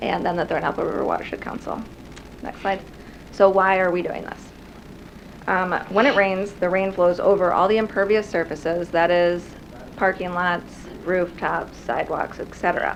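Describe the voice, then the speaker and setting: Amid audible room echo, a woman talks at a moderate pace and medium pitch, her intonation fairly even and her pauses long and frequent. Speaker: conservation program coordinator. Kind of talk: presentation. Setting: city council meeting room. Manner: soft-spoken.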